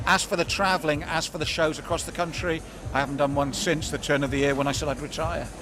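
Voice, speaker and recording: With noticeable background noise behind him, a man speaks very fast at a fairly high pitch in a monotone, flat intonation. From southern England, Swindon. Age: 60s. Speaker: combat sports commentator. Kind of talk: casual interview. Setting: at a live boxing event.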